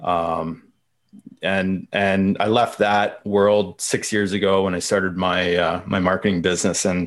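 Against a quiet background, a man with an Ontario accent speaks slowly-ish at a fairly slow pace and fairly low pitch. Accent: Canadian (Ontario). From Canada, London, Ontario. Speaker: marketing consultant. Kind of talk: casual chat.

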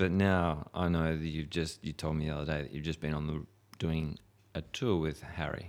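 Speaking at a moderate pace, a man with an Australian accent keeps a monotone, flat intonation at a very deep, low pitch. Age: 40s. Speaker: podcast host. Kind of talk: casual chat. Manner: halting.

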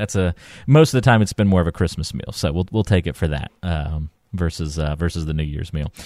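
A fairly quick, lively-intoned voice with an American accent, recorded very cleanly against a silent background, with a dry, close sound and no echo. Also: man. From North Carolina. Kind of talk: casual chat.

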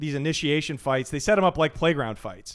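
This very clean recording has a silent background. A man speaks in a normal speaking voice with a fairly high pitch. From Portland, Oregon, US Pacific Northwest. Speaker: stand-up comedian. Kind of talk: casual chat.

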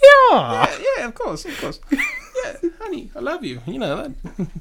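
A put-on character voice, high-pitched, raised and projected, at a very slow pace. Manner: sweet, placating.

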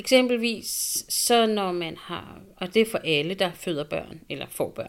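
Very slow delivery with ordinary pitch variation. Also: woman. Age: 40s. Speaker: single mother. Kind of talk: interview testimony.

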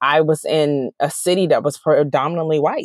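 A woman with an American accent speaks at a moderate pace in a very deep, low voice, with a dry, close sound and no echo. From Washington DC area (DC, Maryland, Virginia). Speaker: TV writer. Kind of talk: interview.

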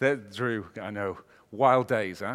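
A man speaks with a Welsh accent. The recording is very clean, with a silent background. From Wales. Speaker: business strategist and keynote speaker. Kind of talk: keynote talk. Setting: stage with audience. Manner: animated.

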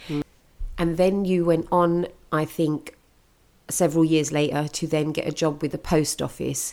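The speaker has a British accent and a monotone, flat intonation. The pace is moderate, broken by long, frequent pauses. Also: woman, very deep, low pitch for a woman. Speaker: podcast host. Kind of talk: interview chat.

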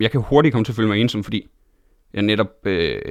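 A man speaks at a fairly low pitch with fairly even intonation. His is an unremarkable speaking voice. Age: 20s. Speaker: stand-up comedian and TV host. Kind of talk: casual interview chat.

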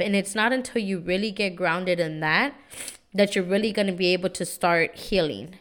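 At a moderate pace, a normal speaking voice with an American accent and fairly even intonation comes through on a very clean recording with a silent background. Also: woman. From San Antonio, Texas (East Side). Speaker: podcast host, empowerment coach. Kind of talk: motivational monologue. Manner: casual, repetitive filler words.

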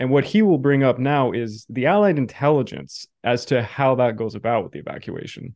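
With a Canadian accent, a man of medium pitch has an ordinary speaking voice, lively intonation and a fairly quick pace with hardly any pauses. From Canada. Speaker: history podcast host. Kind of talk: interview.

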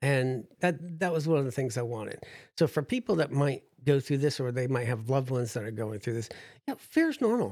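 In an ordinary speaking voice, a man with an American accent talks at a fairly quick pace and medium pitch, with ordinary pitch variation. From New Jersey. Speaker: history teacher and transplant survivor. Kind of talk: casual interview. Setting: studio.

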